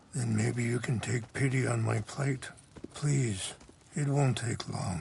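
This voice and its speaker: Raspy and calm in tone, this is a put-on character voice. It moves at a fairly slow pace. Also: man, medium pitch for a man. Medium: video game. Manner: calm, measured, reflective.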